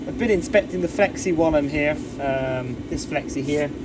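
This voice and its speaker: A man with an English accent talks at a moderate pace with lively intonation. The room echoes audibly, and there is noticeable background noise. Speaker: classic car restorer, DIY video host. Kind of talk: tutorial. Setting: garage. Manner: casual, a bit halting.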